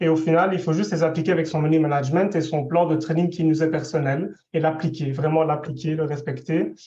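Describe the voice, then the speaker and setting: With hardly any pauses, a man talks in a fairly high, dark, mellow voice with monotone, flat intonation. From Belgium. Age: 20s. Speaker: specialized educator giving testimony. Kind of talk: testimony. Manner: hesitant, many fillers.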